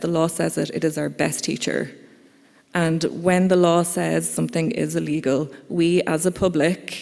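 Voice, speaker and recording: Someone speaks at a moderate pace in an Irish accent. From Ireland. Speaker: conference speaker, campaigner. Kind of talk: conference talk. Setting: conference hall with audience.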